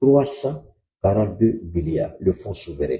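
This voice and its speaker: Very slow and somewhat breathy, a man speaks in a dark, mellow tone at a fairly low pitch. His intonation is lively. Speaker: political commentator. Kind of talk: live stream commentary.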